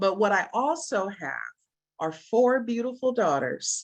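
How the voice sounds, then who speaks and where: In an American accent, a woman delivers her words at a very slow pace. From USA. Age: 60s. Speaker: business presenter. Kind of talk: sales pitch.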